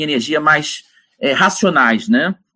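A man is speaking. His tone is bright and sharp. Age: 50s. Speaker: professor, energy researcher. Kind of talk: interview. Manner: animated.

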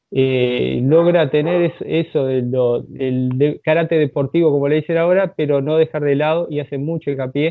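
His intonation is fairly level. The man's voice sits fairly high in pitch. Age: 40s. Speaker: karate instructor. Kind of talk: interview. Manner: hesitant, many filler words.

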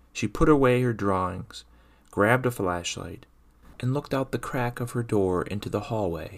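The pitch shows ordinary variation as the text gets plain reading aloud.

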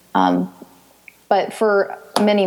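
With an American accent, a woman speaks over noticeable background noise. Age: 20s. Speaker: patient sharing illness story. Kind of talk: interview.

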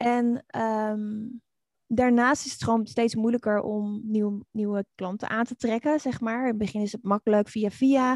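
At a fairly slow pace, a woman speaks in a flat monotone with a fairly high pitch, the sound dry and close with no echo. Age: 40s. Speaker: online community expert and author. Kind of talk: interview.

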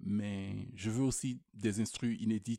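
Monotone, flat intonation from a man at medium pitch, his tone dark and mellow, the sound dry and close with no echo. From Quebec, Rimouski. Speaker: slam poet. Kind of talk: slam performance.

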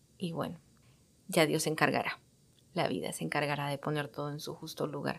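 A moderately paced woman's voice, very clean recording, background silent. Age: 30s. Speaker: podcast host. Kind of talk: personal monologue.

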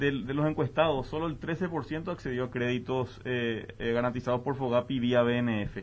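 With hardly any pauses, a man talks at a medium pitch in an unremarkable speaking voice with ordinary pitch variation. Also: fairly slow pace. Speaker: business advocate. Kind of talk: debate.

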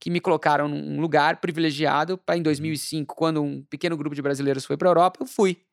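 A man in a normal speaking voice, fairly quick, with a dry, close sound and no echo. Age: 40s. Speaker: marketing executive and entrepreneur. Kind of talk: casual interview.

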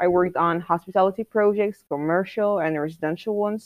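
An Arabic accent with ordinary pitch variation. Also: woman. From Egypt. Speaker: architect and graduate student. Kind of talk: interview answers.

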